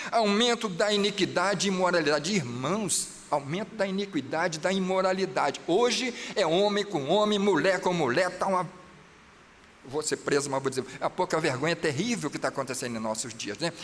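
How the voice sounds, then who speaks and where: A high-pitched man's voice with lively intonation over noticeable background noise. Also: moderate pace. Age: 60s. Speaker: pastor. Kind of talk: sermon. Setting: church. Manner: animated.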